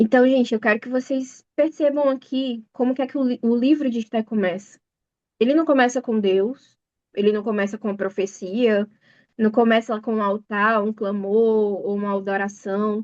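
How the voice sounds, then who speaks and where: A woman's fairly high pitch, an unremarkable speaking voice, moderate pace and ordinary pitch variation, in a dry, close sound with no echo and a quiet background. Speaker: bible study teacher. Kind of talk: sermon. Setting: video call.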